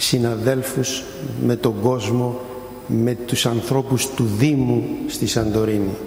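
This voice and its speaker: A man at medium pitch, speaking very slowly, with audible room echo and noticeable background noise. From Greece, Santorini. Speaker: intensive care physician and academic. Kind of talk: speech. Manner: unprepared, improvised.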